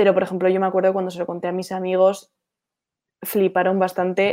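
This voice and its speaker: A woman speaks fairly quickly at a medium pitch. The background is quiet. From Spain, Basque Country (Bilbao). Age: 20s. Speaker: young entrepreneur, marketing agency founder. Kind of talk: casual interview. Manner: halting, many fillers and repetitions.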